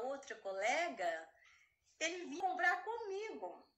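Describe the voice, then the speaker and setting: A woman's raised, projected voice sits at an extremely high pitch with a bright, sharp tone. She speaks at a fairly slow pace amid audible room echo. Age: 50s. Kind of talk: casual chat.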